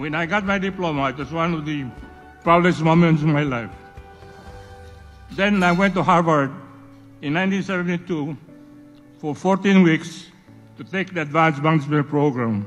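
This man talks with a Visayan Filipino accent at a moderate pace, leaving long, frequent pauses. His pitch varies in an ordinary way, and faint music plays in the background. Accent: Filipino (Cebuano) English. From Cebu, Philippines. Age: 80s+. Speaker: entrepreneur. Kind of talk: award acceptance speech. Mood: reflective, proud. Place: hall. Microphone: podium.

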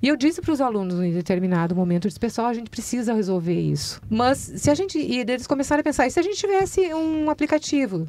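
With a dark, mellow tone, a woman talks at a very fast pace with hardly any pauses, her high voice making very wide pitch swings in a dry sound with no echo. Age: 50s. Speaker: school principal; guest. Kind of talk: interview. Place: studio. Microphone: studio mic.

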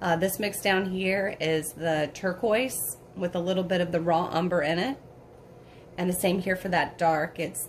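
A woman with a fairly low voice speaks at a moderate pace and with fairly even intonation over light background noise. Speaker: painting instructor. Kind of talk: tutorial. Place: home room.

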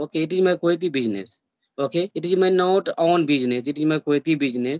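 Very fast speech with an Indian accent and lively intonation over a quiet background. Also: man. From India, Bihar. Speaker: YouTuber learning English. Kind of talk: casual English practice conversation. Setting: video call. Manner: halting. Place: home room. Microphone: video call.

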